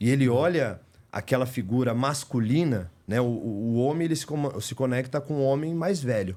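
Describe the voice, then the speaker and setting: A man's dark, mellow voice with a Paulista accent, medium pitch and ordinary pitch variation, in a very clean recording with a silent background. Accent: Paulista Brazilian Portuguese. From Greater São Paulo, Brazil (São Caetano). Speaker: house painter turned business owner. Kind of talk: podcast interview. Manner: animated.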